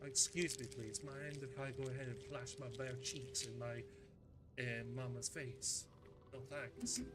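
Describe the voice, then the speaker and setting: With music in the background and audible room echo, a man of medium pitch speaks at a fairly slow pace with ordinary pitch variation. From Scotland. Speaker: gaming streamer. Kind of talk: live gameplay stream chat. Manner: animated.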